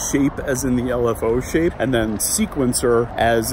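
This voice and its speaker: Mumbling at a moderate pace, a man with an American accent and a medium-pitched voice shows ordinary pitch variation over noticeable background noise. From Philadelphia area, Pennsylvania. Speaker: music producer and vlogger. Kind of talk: casual vlog and synth tutorial.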